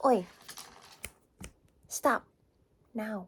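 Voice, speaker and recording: A woman whispers in a soft-spoken way. Background noise is noticeable. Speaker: ASMR creator. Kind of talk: ASMR book show and tell. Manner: whispering.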